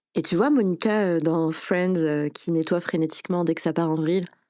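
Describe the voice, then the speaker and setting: A woman speaks at a moderate pace with a fairly low pitch and fairly even intonation. Her tone is dark and mellow in a very clean recording with a silent background. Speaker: wellbeing podcaster. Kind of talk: podcast monologue. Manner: casual, many hesitations.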